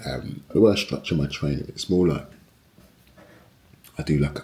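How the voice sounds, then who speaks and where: There is noticeable noise behind this man's voice. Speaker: personal trainer. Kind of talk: fitness vlog. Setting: home garage gym. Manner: casual.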